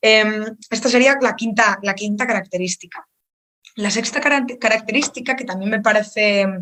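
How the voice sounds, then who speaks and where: A woman with a Spanish accent speaks at a fairly high pitch with fairly even intonation. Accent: Peninsular Spanish. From Spain. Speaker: think tank speaker. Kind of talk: online lecture. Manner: fast; halting, many repetitions.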